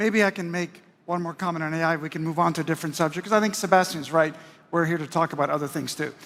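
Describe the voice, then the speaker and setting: Here a man with a high pitch talks at a very fast pace, keeping his intonation fairly even. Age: 60s. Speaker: hospitality executive. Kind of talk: panel discussion.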